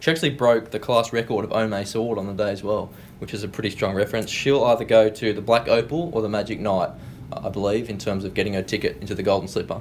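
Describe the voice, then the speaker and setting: A man with an Australian accent and a fairly low pitch speaks at a very fast pace with fairly even intonation, with noticeable background noise behind him. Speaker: racing industry analyst, guest. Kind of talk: casual chat. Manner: relaxed, knowledgeable.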